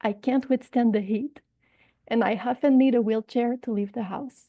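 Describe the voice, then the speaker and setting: A woman speaks in a strong Quebec accent at a moderate pace. Her pitch is high and her intonation fairly even. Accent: thick Quebecois French. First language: French. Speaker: patient representative, long covid patient. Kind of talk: personal testimony in a webinar. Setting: online webinar.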